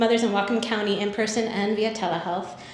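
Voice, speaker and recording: A woman with a fairly high pitch is heard amid noticeable background noise and audible room echo. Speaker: nonprofit program presenter. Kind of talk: conference presentation. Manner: fast.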